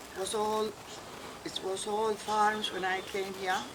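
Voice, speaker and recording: Amid noticeable background noise and audible room echo, a woman of medium pitch talks at a fairly slow pace. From Malta. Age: 80s+. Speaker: elderly migrant interviewee. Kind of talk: life story interview. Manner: halting.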